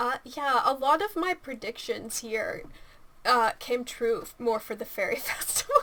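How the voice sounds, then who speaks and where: A raised, projected voice at a fairly slow pace, with very wide pitch swings and noticeable background noise. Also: woman, high pitch for a woman. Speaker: gaming video commentator. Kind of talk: casual commentary. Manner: halting, many fillers.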